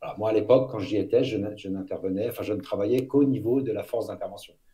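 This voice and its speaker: A man at a very fast pace. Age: 50s. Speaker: former elite police officer, public speaker. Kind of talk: interview.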